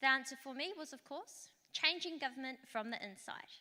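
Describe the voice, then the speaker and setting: Her voice is high in pitch with a bright, sharp tone and a New Zealand accent. The woman speaks at a moderate pace with ordinary pitch variation. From Rotorua, New Zealand. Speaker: local councillor. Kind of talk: conference talk.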